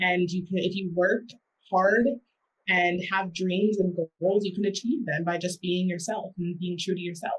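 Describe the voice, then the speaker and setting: Somewhat breathy female speech with fairly level intonation. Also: medium pitch for a woman, moderate pace. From US South, South Carolina. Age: young. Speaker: rapper and student. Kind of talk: interview.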